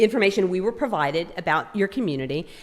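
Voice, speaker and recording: Against music in the background, a woman speaks at a fairly quick pace with very wide pitch swings. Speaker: state agency presenter. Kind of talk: public presentation. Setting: city hall meeting room.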